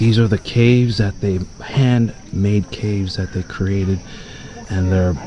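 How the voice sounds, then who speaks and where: A normal speaking voice, a man at fairly low pitch with ordinary pitch variation and a moderate pace, dry sound with no echo, light background noise. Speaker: travel vlogger. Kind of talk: casual vlog commentary. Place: open country. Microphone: phone near.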